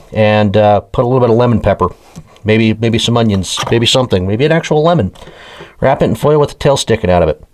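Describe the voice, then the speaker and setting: Delivered at a very fast pace, the speech holds a very even loudness throughout. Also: man, medium pitch for a man, ordinary pitch variation. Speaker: fishing YouTuber. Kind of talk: product review. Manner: halting.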